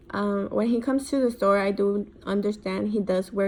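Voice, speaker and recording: With a dark, mellow tone at a medium pitch, a woman speaks at a moderate pace with fairly even intonation. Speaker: college student. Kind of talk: recorded class reflection. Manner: up talk, rising pitch; hesitant, many ums and likes.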